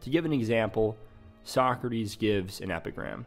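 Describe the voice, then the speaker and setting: Music plays in the background as a man speaks at a fairly slow pace. His medium pitch shows ordinary variation. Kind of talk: philosophy explainer narration.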